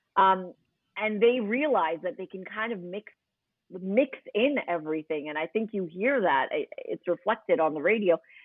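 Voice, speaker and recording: Speaking with an American accent at a moderate pace, a woman with a plain, everyday voice and medium pitch uses lively intonation. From New York City, Queens. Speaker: radio host. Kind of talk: podcast interview.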